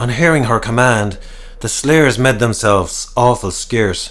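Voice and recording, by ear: Someone is reading aloud in a natural voice. The text is read through in that manner.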